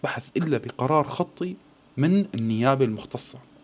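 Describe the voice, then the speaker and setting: Noticeable background noise sits under a man's voice at a moderate pace. His tone is animated and his intonation lively. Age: 40s. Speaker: political commentator. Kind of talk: video commentary.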